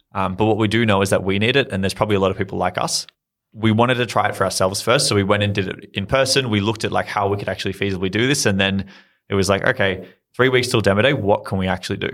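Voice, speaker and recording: On a very clean recording with a silent background, a man with an Australian accent talks very fast in a fairly low pitch with fairly even intonation. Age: 20s. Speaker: startup founder. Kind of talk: interview.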